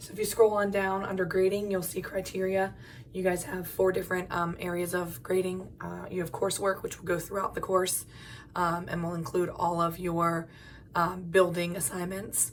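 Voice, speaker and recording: The voice runs at a moderate pace in a monotone, flat intonation, with audible room echo. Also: woman, medium pitch for a woman. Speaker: college English instructor. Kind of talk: video lecture. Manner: casual, frequent filler ums.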